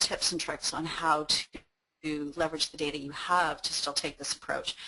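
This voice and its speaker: A woman talks very fast in a very deep, low pitch. Her tone is bright and sharp, her intonation monotone and flat. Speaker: webinar presenter. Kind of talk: webinar presentation. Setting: online webinar. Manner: hesitant, many fillers.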